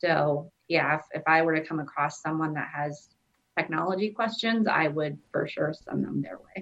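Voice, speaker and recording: A woman with an American accent speaks at a moderate pace in a very deep, low pitch. Her voice carries vocal fry, and her pitch varies in an ordinary way. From US Midwest (southwest Iowa). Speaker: employee of a blindness services organization, blind since birth. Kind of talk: interview.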